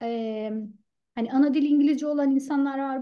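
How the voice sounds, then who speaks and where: A woman at a moderate pace with ordinary pitch variation, against a quiet background. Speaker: author and public speaker; public speaker. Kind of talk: mentoring talk. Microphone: earbuds.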